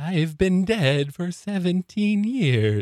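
A man's high-pitched, put-on character voice

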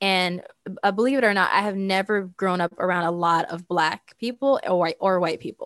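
In a plain, everyday voice, a woman of medium pitch talks fairly quickly with fairly even intonation, recorded very cleanly against a silent background with a dry, close sound and no echo. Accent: American. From US and Saudi Arabia. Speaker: tech entrepreneur. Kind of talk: casual interview chat.

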